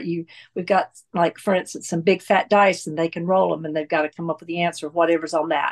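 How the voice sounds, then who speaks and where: With an American accent, a woman in an ordinary speaking voice talks at a fairly quick pace and fairly low pitch, with ordinary pitch variation. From US South, North Carolina. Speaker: church volunteer. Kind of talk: interview conversation.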